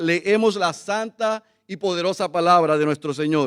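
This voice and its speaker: A man's voice with ordinary pitch variation, in a dry, close sound with no echo. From Puerto Rico. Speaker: visiting pastor. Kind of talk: sermon. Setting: church service. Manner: animated, gesturing.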